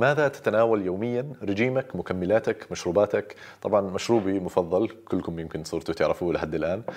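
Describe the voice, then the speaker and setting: A man with a Jordanian accent speaks at a fairly low pitch and a moderate pace. His pitch varies in an ordinary way against a quiet background. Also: hardly any pauses. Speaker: doctor and YouTuber; YouTuber. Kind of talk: casual Q&A monologue. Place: home room.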